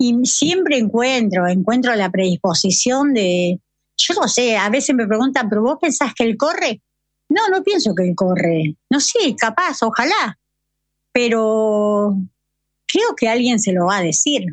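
A woman's voice with very wide pitch swings, very even loudness and a fairly slow pace. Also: fairly high pitch for a woman. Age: 50s. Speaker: amateur marathon runner searching for her son. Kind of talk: interview testimony.

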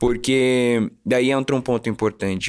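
The recording is very clean, with a silent background. A man speaks at a moderate pace and medium pitch with fairly even intonation. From Curitiba, Paraná, Brazil. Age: 20s. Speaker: actor. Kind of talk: testimony. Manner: halting.

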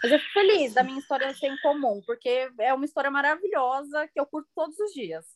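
Very fast, lively speech from a woman with a high pitch, dry and close with no echo. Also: hardly any pauses. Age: 20s. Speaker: podcast guest. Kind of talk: casual chat.

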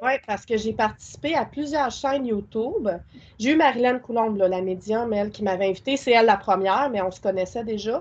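A woman talks at a moderate pace. Her voice is fairly high, with ordinary pitch variation. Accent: Quebec. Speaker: spiritual content creator and witchcraft practitioner. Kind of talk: casual interview.

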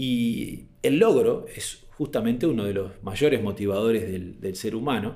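Recorded with audible room echo, a man speaks fairly slowly with hardly any pauses, his medium-pitched voice dark and mellow with ordinary pitch variation. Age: 40s. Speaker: speaker on management and habits. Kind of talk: talk / presentation. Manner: hesitant, frequent fillers.

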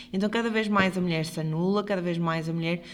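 A woman speaks in a European Portuguese accent. Her pitch varies in an ordinary way. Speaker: podcast co-host, health professional. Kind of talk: casual chat.

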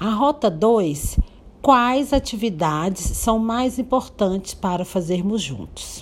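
Very slow, somewhat breathy speech with lively intonation. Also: woman, medium pitch for a woman. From Brazil, Minas Gerais (Paracatu). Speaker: educator. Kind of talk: educational presentation, partly read.

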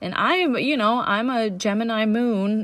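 This is a woman speaking. She has a Danish accent. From Denmark. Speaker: relationship coach podcaster. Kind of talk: solo podcast monologue. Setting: home recording with leaf blower outside. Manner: hesitant with fillers.

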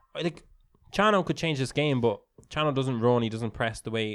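A man with an animated tone, ordinary pitch variation and a fairly quick pace. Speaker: football podcast co-host. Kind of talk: live-style sports commentary while watching the match, banter. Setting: studio, watching a stream of the match. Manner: animated, reactive, interjecting short match calls over co-host.

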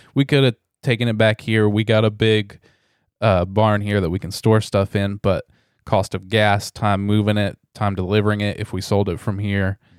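The recording is very clean with a silent background and a dry, close sound with no echo. A man with an American accent talks at a moderate pace, fairly low in pitch and monotone, flat. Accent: Southern US, thick around family. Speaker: reseller podcaster. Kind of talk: casual chat.

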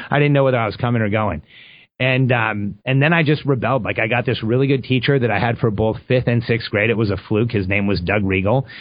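A man speaks at a fairly quick pace. His voice is medium in pitch, with ordinary pitch variation. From Mexico, raised in Southern California from age five. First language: Spanish. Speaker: entrepreneur. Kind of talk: interview.

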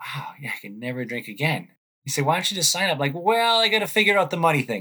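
In an American accent, a man speaks with a bright, sharp tone. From Waltham, Massachusetts (Boston area). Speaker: ultramarathon runner in recovery from alcoholism. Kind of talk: interview, personal testimony.

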